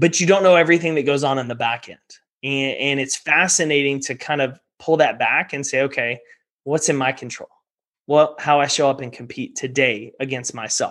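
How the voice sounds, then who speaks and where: A man with an American accent and an unremarkable speaking voice talks at a moderate pace and fairly high pitch, with fairly even intonation and big swings in loudness. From Texas. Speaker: performance coach and entrepreneur. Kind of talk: interview.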